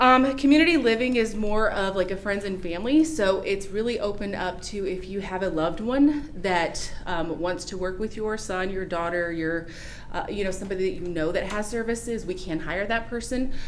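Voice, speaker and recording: A woman at medium pitch talks with hardly any pauses. Noticeable background noise and audible room echo surround her voice. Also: lively intonation. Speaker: nonprofit agency representative. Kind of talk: agency update presentation at public meeting. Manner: fast.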